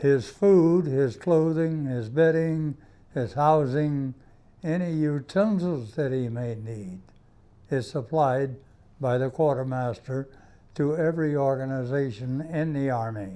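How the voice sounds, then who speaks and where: A man with a Southern US accent speaks at a fairly slow pace in a dark, mellow tone, fairly high in pitch with ordinary variation. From US South, South Carolina (Greenwood). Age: 90s. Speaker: war veteran. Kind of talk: interview testimony.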